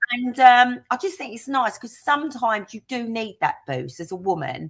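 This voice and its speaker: A woman with a Cockney accent speaks in a fairly high pitch, her tone animated. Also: lively intonation, moderate pace, big swings in loudness. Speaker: interviewee sharing life story. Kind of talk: interview.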